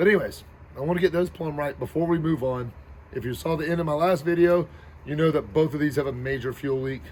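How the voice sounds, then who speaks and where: A man's somewhat breathy, fairly high voice at a very fast pace, with ordinary pitch variation. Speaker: YouTube car builder. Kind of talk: DIY build vlog. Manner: casual, rambling.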